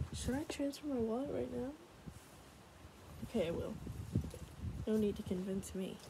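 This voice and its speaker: Noticeable background noise is present as a woman speaks. Her voice is somewhat breathy, with a dark, mellow tone. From United States. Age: 20s. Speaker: ASMR creator. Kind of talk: casual talk to camera. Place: home room. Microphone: phone near.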